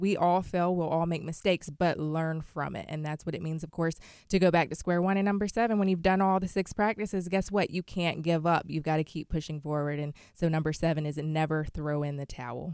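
A woman with a normal speaking voice and an American accent talks at a fairly low pitch and fairly quick pace, with fairly even intonation, in a very clean recording with a silent background. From South Carolina. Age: 20s. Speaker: motivational speaker and author. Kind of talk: interview.

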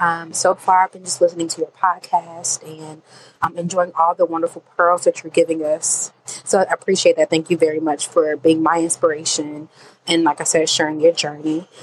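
A woman's fairly low, flat, monotone voice at a moderate pace, with big swings in loudness, recorded dry and close with no echo, noticeable background noise throughout. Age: 20s. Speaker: voicemail caller. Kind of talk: recorded voicemail question. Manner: halting, many fillers.

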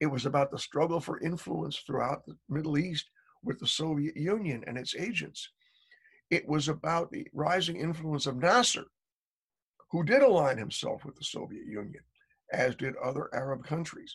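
With an American accent, the speaker moves at a moderate pace with lively intonation, vocal fry, long, frequent pauses and big swings in loudness. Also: man. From United States. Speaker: journalist and author on foreign affairs. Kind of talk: interview. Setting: video call.

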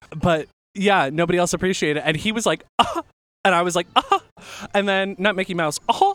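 A man speaks at a fairly quick pace in a high pitch, with a bright, sharp tone and an animated tone. The sound is dry and close with no echo, and his pitch variation is ordinary. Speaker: podcast co-host. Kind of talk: casual chat. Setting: on location at a bar.

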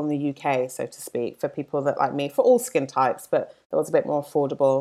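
Recorded very cleanly against a silent background, a woman with a London accent speaks at a fairly quick pace. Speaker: skincare brand founder. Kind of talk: casual interview.

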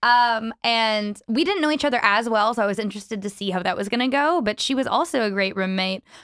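A woman with a Canadian accent speaks in a normal speaking voice at a fairly high pitch and a fairly quick pace, with ordinary pitch variation and a dry, close sound with no echo. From Vancouver, Canada. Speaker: actor. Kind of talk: casual interview chat. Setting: remote video call, studio.

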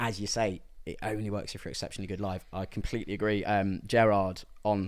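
A man talks at a fairly quick pace in a normal speaking voice, fairly low in pitch. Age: 20s. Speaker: music writer. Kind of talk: casual chat.

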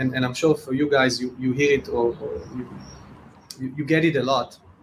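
Noticeable background noise behind a man's moderate pace and ordinary pitch variation. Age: 30s. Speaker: entrepreneur, NFT project co-founder. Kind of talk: casual interview. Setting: video call.

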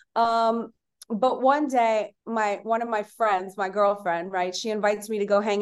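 A woman with an unremarkable speaking voice speaks at a moderate pace with fairly even intonation against a quiet background. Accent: American. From Louisiana, US South. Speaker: entrepreneur and author. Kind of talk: casual interview chat.

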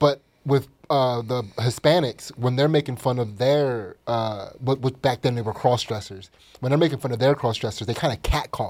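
A man with a normal speaking voice and medium pitch talks at a moderate pace with ordinary pitch variation. The recording is very clean, with a silent background. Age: 40s. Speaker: comedian. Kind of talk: casual chat. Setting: studio.

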